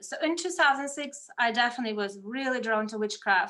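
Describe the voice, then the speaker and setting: In a Russian accent, a woman talks at a moderate pace with a high pitch, ordinary pitch variation and a bright, sharp tone on a very clean recording with a silent background. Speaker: medium and energy healer. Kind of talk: casual interview chat.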